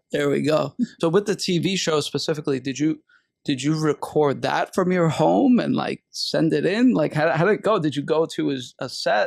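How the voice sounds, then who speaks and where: A man with a fairly high pitch and vocal fry speaks with lively intonation at a moderate pace. The recording is very clean, with a silent background. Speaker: interviewer.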